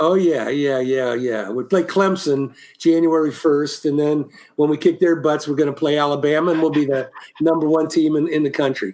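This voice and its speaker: A man with an American accent talks in a plain, everyday voice. His pitch is fairly high, his intonation fairly even, and his pace moderate. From Ohio, Columbus. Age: 60s. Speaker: musician and former band production manager. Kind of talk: casual interview chat.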